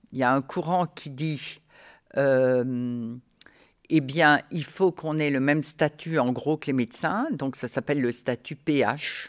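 A woman's very deep, low voice moves at a very slow pace, recorded dry and close with no echo against a silent background. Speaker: retired midwife. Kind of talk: interview. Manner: animated.

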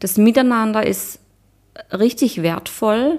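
A woman with an ordinary speaking voice at a fairly slow pace, on a very clean recording with a silent background. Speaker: retreat participant. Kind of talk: interview. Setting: villa on Cyprus during a retreat.

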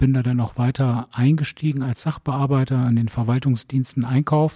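With a dark, mellow tone and a somewhat breathy quality, a man speaks in fairly even intonation, the sound dry and close with no echo. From northern Germany, Bremen. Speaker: district mayor. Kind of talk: interview. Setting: town hall library.

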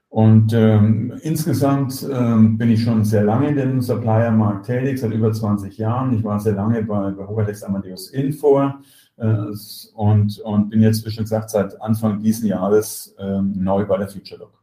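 Fairly even in intonation, a man's fairly low voice moves at a fairly slow pace. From Germany. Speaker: software company executive. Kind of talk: interview. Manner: halting, many fillers and repetitions.

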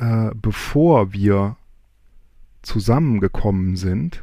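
A man with lively intonation in a very clean recording with a silent background. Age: 40s. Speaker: podcaster, quiz contestant. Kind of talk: recorded game-show answers.

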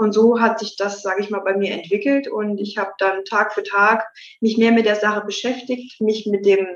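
A woman with a plain, everyday voice, fairly high pitch, fairly even intonation and a fairly quick pace. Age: 20s. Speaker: mayor. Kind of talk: interview.

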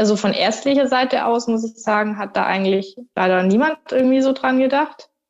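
A woman speaks in an ordinary speaking voice at a moderate pace. Her pitch varies in the usual way. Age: 30s. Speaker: triathlete. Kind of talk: casual chat.

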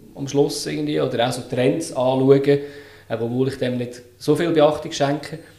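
A man speaks at a fairly slow pace and medium pitch with ordinary pitch variation, over noticeable background noise and audible room echo. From Switzerland, Lucerne. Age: 30s. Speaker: UX design consultant. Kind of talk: casual interview.

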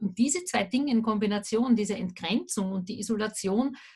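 A somewhat breathy woman at medium pitch, with fairly even intonation and a moderate pace. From Austria, Vienna. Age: 40s. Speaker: remote work consultant. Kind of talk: interview.

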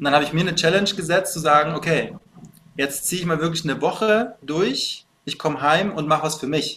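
Here is a man with a plain, everyday voice, fairly high in pitch. He speaks at a fairly quick pace with fairly even intonation. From Bavaria, Munich. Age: 30s. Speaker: fitness coach. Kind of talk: casual interview chat.

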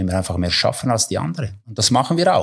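A man speaks with an Italian Swiss accent. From Ticino, Switzerland. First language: Italian (speaking German). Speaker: football goalkeeper coach. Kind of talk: interview.

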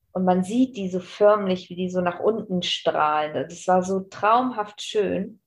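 Speaking at a very slow pace, a woman holds a medium pitch with ordinary pitch variation. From northern Germany, Bremen. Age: 40s. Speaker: aspiring business trainer. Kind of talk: podcast interview.

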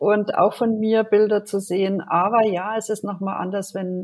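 A woman's ordinary speaking voice, with fairly even intonation and a fairly slow pace. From Germany. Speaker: podcast co-host, psychological counsellor. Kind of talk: casual podcast introduction.

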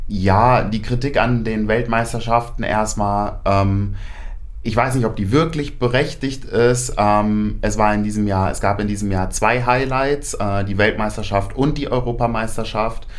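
With audible room echo, a man talks fairly slowly at a medium pitch and with fairly even intonation. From Germany, near Paderborn. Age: 20s. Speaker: decathlete. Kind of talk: interview.

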